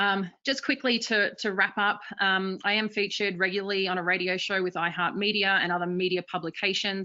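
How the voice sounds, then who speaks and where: With a medium pitch, a woman moves along at a fairly quick pace. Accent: Australian. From Australia. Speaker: marketing executive. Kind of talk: webinar presentation.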